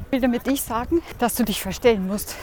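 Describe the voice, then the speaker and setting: A woman with a high, cheerful voice speaks at a moderate pace with ordinary pitch variation over noticeable background noise. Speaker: podcast host, coach. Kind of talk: motivational monologue while running. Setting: outdoors, running through city. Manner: cheerful, laughing.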